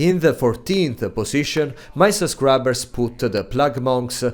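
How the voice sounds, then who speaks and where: Man with an Italian accent, fairly slow pace and ordinary pitch variation. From Italy. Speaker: video game content creator. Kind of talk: gaming guide commentary. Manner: hesitant, many filler sounds.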